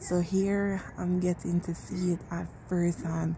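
Over light background noise, a woman speaks very slowly at a fairly low pitch in a flat monotone. The recording is dry, with no echo. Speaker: vlogger visiting light display. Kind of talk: casual vlog chat. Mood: amazed, admiring. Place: garden. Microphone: phone near.

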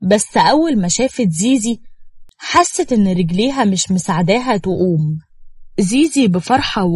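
Plain read-aloud text, intonation lively

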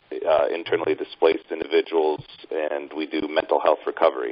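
A man speaks over noticeable background noise. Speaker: nonprofit executive director. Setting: video call.

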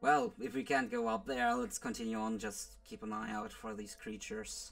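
A man performs a put-on character voice at a moderate pace. Music plays in the background. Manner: practical, steady.

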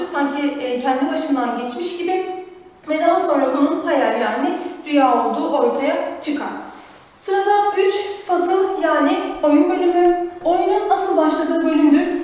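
This woman's pitch is extremely high, with ordinary variation, at a moderate pace. Strong room echo surrounds her voice. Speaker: teacher. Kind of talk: lecture. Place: classroom.

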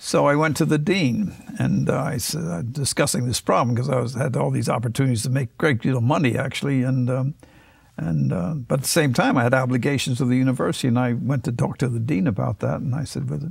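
Over a quiet background, the voice races at a very fast pace with lively intonation and big swings in loudness. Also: man. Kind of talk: interview answer, anecdote. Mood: amused storytelling. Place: studio. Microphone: lapel.

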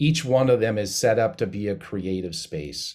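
On a very clean recording with a silent background, a man with an American accent uses a plain, everyday voice at a fairly slow pace with ordinary pitch variation. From Missoula, Montana. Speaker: percussion professor. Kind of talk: panel discussion.

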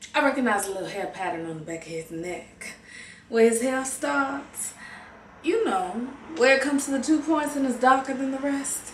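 A woman with a high pitch talks at a moderate pace, her loudness swinging widely. There is audible room echo and light background noise. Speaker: actor performing a monologue. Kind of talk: dramatic monologue. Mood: bitter, hurt, emotional. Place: home room. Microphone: webcam.

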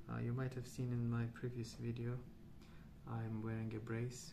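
A soft-spoken man at a medium pitch, with noticeable background noise. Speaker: ASMR artist. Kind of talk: casual rambling while colouring. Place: home room.

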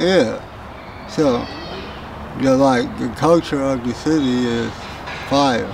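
Amid audible room echo and noticeable background noise, a man speaks very slowly with long, frequent pauses, a medium pitch and fairly even intonation. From Pasadena, California. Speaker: rapper. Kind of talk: casual interview.

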